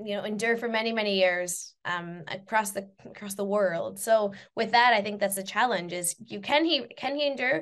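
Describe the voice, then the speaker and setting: An unremarkable speaking voice from a woman with a Canadian accent, at a moderate pace. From Canada. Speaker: university lecturer and researcher. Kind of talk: interview.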